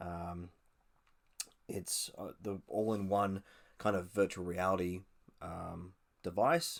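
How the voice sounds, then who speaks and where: Very slowly and with long, frequent pauses, a man with an Australian accent speaks in a very deep, low pitch, his intonation fairly even but his loudness swinging widely. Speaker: podcast host. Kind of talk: casual news commentary podcast. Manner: hesitant, many fillers.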